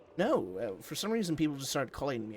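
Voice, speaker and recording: A man in a put-on character voice, very fast, with very wide pitch swings and clear background noise. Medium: actual play. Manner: eager, boastful.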